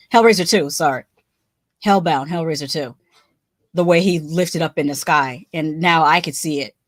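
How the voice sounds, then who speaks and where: A woman with a very deep, low pitch speaks at a moderate pace with long, frequent pauses on a very clean recording with a silent background. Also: ordinary pitch variation. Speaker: YouTuber reviewing TV shows. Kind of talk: recap and review livestream.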